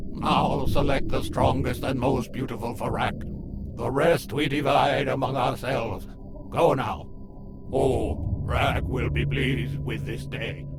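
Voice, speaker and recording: Over loud background noise, a man puts on a character voice at a medium pitch and a fairly slow pace. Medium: dub. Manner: barking, gloating.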